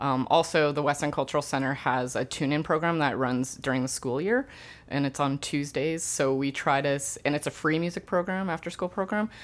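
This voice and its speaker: Very deep, low pitch marks this woman's voice, in a Canadian Prairies accent. She moves at a fairly quick pace with ordinary pitch variation. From Canada, Winnipeg. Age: 30s. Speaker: community music nonprofit founder. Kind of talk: interview. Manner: hesitant, many fillers.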